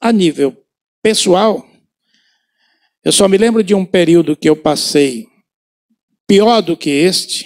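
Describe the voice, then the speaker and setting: A man speaks very slowly at a high pitch with ordinary variation, leaving long, frequent pauses. The very clean recording has a silent background and a dry, close sound with no echo. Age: 70s. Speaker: pastor. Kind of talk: sermon. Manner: halting.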